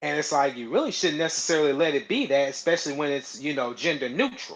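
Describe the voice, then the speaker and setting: A man's very fast speech with an American accent and a fairly high pitch. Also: ordinary pitch variation. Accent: southern US accent, comes and goes. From US South. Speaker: live stream host. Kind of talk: casual chat. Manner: halting, repeats words.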